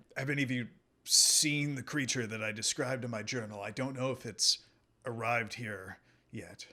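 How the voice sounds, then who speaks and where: Putting on a character voice, a man sounds raspy at a medium pitch and a moderate pace. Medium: actual play. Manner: earnest, bewildered.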